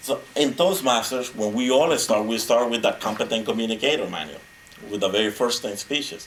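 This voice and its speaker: With a Spanish accent, a man speaks at a medium pitch and a fairly quick pace, his intonation lively over noticeable background noise. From Honduras. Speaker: motivational speaker. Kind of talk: speech. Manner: animated.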